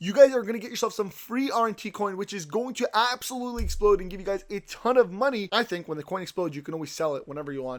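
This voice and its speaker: A man talks at a very fast pace in a high pitch with hardly any pauses. His tone is animated, his intonation lively, and his loudness swings widely. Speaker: crypto YouTuber. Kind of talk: sales pitch.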